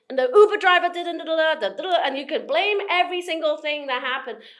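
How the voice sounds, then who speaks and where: Very fast speech comes from a woman. She has an American accent. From Hong Kong, schooled in England from nine to eighteen. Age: 40s. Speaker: motivational speaker and investor. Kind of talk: podcast interview. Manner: animated.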